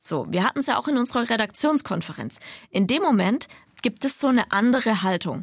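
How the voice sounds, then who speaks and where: A woman speaks in a normal speaking voice with lively intonation at a moderate pace, on a very clean recording with a silent background. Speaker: radio podcast co-host. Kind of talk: casual chat.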